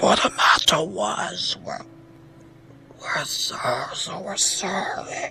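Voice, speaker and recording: Clear music plays behind a man whispering in a put-on character voice. He speaks very slowly. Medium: read story. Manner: grunting, halting, stumbling over words.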